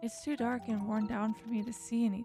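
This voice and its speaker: A soft-spoken woman at a moderate pace and fairly high pitch, with music in the background. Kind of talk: gentle gameplay commentary. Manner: soft-spoken, calm.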